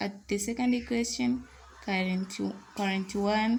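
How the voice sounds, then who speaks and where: A woman's medium-pitched voice with a non-native accent, fairly even intonation and a moderate pace. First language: not English. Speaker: online tutor. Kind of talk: tutorial.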